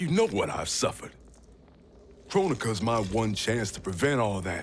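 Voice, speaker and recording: A gruff, put-on character voice from a man at a medium pitch, with very wide pitch swings over clear background noise. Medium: video game. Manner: blunt, gruff, casual.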